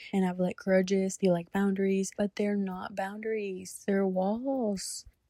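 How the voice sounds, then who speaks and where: The woman's medium-pitched voice has a dark, mellow tone and a dry, close sound with no echo. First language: not English. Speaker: faith vlogger. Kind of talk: personal reflection vlog. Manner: casual, rambling with fillers; halting.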